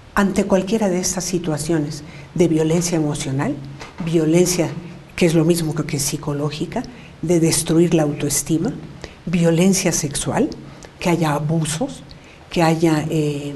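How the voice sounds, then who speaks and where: The speaker moves at a fairly slow pace. Audible room echo and noticeable background noise are present. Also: woman. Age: 70s. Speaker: women's rights activist. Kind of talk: interview.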